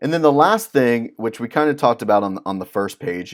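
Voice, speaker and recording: A man's normal speaking voice at a moderate pace, with ordinary pitch variation, on a very clean recording with a silent background. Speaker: music business consultant. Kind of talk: tutorial. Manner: casual, with many fillers.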